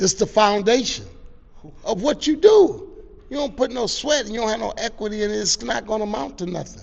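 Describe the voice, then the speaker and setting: Over noticeable background noise, a man with an American accent talks at a fairly quick pace. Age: 60s. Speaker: youth sports organization founder. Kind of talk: interview.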